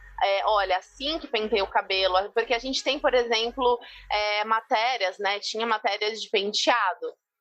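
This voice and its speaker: A woman talks in a fairly high pitch at a moderate pace, with ordinary pitch variation, while music plays in the background. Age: 20s. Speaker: visagist and beauty professional. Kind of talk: podcast interview.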